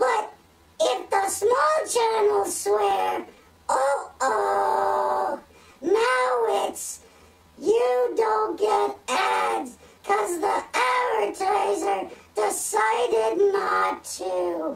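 Very slowly, someone speaks in a put-on character voice at a fairly high pitch. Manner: excitable, easily amazed.

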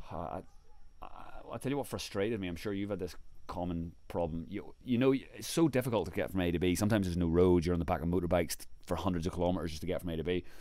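A man's very deep, low voice with a dark, mellow tone, ordinary pitch variation and a very fast pace, in a dry sound with no echo. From Ireland. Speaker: travel blogger. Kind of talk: casual interview storytelling. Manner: animated. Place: home room. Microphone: handheld.

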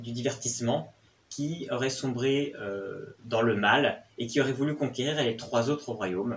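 Somewhat breathy, a man speaks at a very slow pace. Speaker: film reviewer. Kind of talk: casual review commentary. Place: home room.

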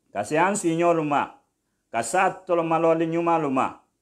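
Against a quiet background, a man speaks at a moderate pace. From Guinea, Dabola; Guinea. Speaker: Islamic preacher on radio. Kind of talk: radio sermon. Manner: formal. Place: studio. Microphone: studio mic.

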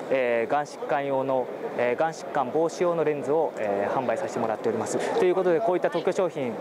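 Loud background noise surrounds a man speaking very fast. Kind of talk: product presentation. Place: hall. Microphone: camera far.

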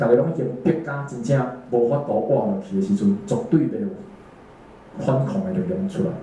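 A man's high-pitched voice with very wide pitch swings, audible room echo and light background noise. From Taiwan. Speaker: amateur political cartoonist; speaker. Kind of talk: panel talk answering audience questions. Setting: talk at a small exhibition opening with audience. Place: meeting room.

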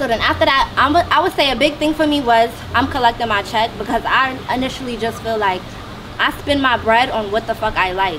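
A woman's high-pitched voice, fairly quick in pace with ordinary pitch variation, over noticeable background noise. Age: 20s. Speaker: hairstylist. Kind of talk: self-introduction in group panel. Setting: mansion, group filming.

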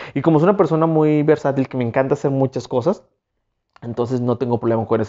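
Against a quiet background, a man talks at a very fast pace in an animated tone, his pitch fairly high. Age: 30s. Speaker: YouTuber; vlogger. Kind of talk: self-interview monologue. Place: home room. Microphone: lapel.

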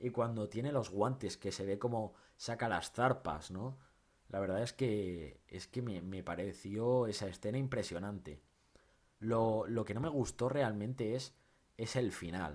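The tone is animated. Pitch variation is ordinary. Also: man, fairly low pitch for a man, fairly slow pace. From Spain. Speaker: film YouTuber. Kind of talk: film review monologue. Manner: halting, many repetitions and fillers; casual, animated. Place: home room.

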